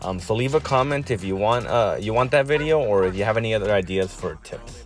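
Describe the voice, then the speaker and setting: A man talks at a fairly quick pace in a fairly low pitch. His intonation is lively, and music plays in the background. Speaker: gaming youtuber. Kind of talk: tutorial. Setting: in a car. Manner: hesitant, many fillers. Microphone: backup mic, main mic broken.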